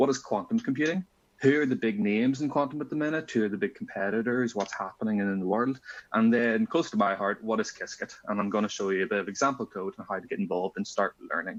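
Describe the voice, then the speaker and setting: With a Northern Irish accent, a man talks very fast at a medium pitch with lively intonation. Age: 20s. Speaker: physics student and conference speaker. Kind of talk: conference talk. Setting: conference.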